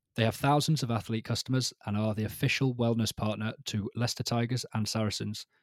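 On a very clean recording with a silent background and a dry, close sound with no echo, a man speaks in a plain, everyday voice at medium pitch, keeping a moderate pace and fairly even intonation. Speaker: podcast host. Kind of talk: casual chat.

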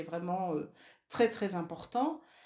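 Speaking at a fairly slow pace with lively intonation, a woman has an ordinary speaking voice, captured in a very clean recording with a silent background. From northern France (Nord, Lille). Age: 60s. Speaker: feminist activist, former family planning association co-president. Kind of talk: interview.

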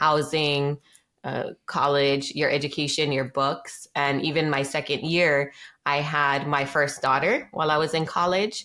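A woman with a very deep, low pitch and monotone, flat intonation, fairly slow pace and very even loudness, on a very clean recording with a silent background. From Hawaii, Maui. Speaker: real estate investor. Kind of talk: interview.

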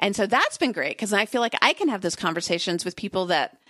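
This woman has a plain, everyday voice at a medium pitch. Her intonation is lively, and the background is quiet. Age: 40s. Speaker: writer and podcaster. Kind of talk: casual interview chat.

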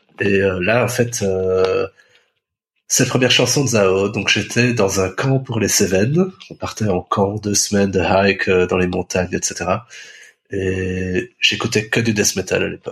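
Somewhat breathy and fairly low-pitched, a man talks at a very slow pace with fairly even intonation. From Belgium, Brussels. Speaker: former music reviewer. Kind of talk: casual chat.

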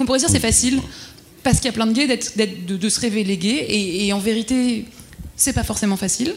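With ordinary pitch variation, this woman talks in a fairly high voice. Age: 30s. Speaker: corporate employee. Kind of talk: panel discussion. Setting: dinner debate with audience. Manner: halting.

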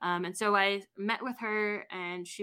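In a very clean recording with a silent background, a woman with a Canadian accent speaks in a bright, sharp tone and a flat, monotone delivery. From Toronto, Canada. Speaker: history graduate student and researcher. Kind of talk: casual interview. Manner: halting, many filler words.

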